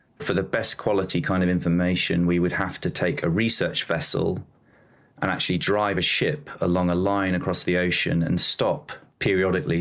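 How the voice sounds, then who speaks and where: A man speaks with a southern English accent at a very deep, low pitch. His pace is moderate and his pitch variation ordinary. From southern England, near London. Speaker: oceanographer. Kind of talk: interview.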